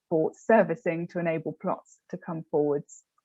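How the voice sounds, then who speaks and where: A woman speaks with a British accent at a fairly low pitch. Her pace is moderate and her intonation fairly even. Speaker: public sector programme officer. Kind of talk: webinar presentation.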